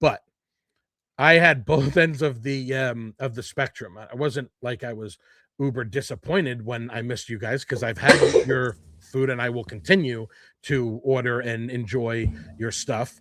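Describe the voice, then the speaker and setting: A man with a New Jersey accent speaks in an animated tone at a medium pitch and moderate pace. His pitch variation is ordinary, while his loudness swings widely. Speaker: podcast host. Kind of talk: casual chat.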